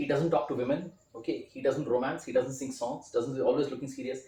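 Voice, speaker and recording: A man speaks with an Indian accent. His tone is dark and mellow, and somewhat breathy. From India, Kolkata (Calcutta). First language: Hindi. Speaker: film critic and writer. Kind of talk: interview.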